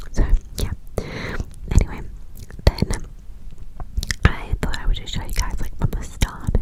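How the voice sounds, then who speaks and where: Whispering at a fairly slow pace with long, frequent pauses and big swings in loudness, the voice comes through noticeable background noise. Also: woman. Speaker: ASMR creator. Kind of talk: ASMR skincare and hair tutorial voice over. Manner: soft whisper, clicky.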